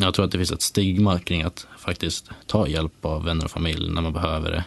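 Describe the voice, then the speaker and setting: Very deep, low male speech, flat and monotone. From Sweden, Ramnes (Västmanland). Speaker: cyclist. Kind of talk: casual interview.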